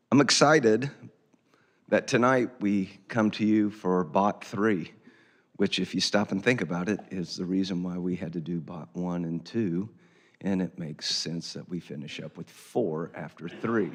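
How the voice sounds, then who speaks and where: A man puts on a hoarse character voice, very deep and low, speaking at a moderate pace with big swings in loudness. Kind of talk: formal, announcer-like.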